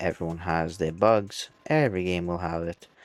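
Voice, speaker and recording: Quiet and very deep, a man's low-pitched voice comes through dry and close, with no echo. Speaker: VTuber gamer. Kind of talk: casual game review monologue.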